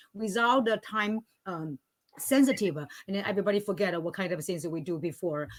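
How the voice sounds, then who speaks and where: Speaking at a fairly quick pace with a non-native accent, a woman uses a medium pitch and lively intonation. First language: not English; English is third language. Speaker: language teacher, panelist. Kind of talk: panel discussion. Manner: halting, many fillers.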